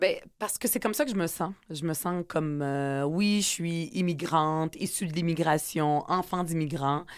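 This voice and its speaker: On a very clean recording with a silent background, a woman with a fairly low pitch and ordinary pitch variation speaks at a fairly slow pace with hardly any pauses. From Quebec (Montreal, from age 10; born in UAE). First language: Arabic (speaking French). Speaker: politician and author. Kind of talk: interview. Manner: hesitant with many fillers.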